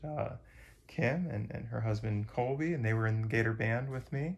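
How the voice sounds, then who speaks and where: The man's voice comes out somewhat breathy. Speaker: hiker vlogger. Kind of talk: casual vlog chat. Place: home room. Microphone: phone near.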